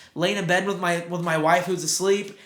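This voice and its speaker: A man's high voice at a moderate pace with fairly even intonation, amid audible room echo and noticeable background noise. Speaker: sports podcast co-host. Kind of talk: casual chat.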